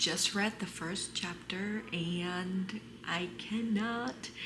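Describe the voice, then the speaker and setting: A woman at a medium pitch with ordinary pitch variation, over noticeable background noise. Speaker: book vlogger. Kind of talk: casual vlog chat. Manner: whispering.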